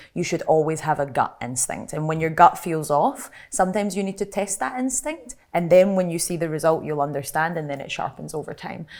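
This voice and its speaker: The speaker has a Glaswegian accent and lively intonation, talking at a fairly quick pace. The recording is very clean, the background silent. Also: woman. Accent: Glaswegian Scottish. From Scotland, Glasgow. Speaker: content creator. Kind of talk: panel discussion. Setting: live panel at an industry festival.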